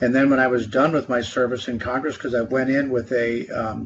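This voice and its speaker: A man's flat, monotone delivery at a fairly quick pace, medium in pitch, with an American accent. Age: 60s. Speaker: trade association executive, former congressman. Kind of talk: podcast interview. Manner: hesitant, many fillers.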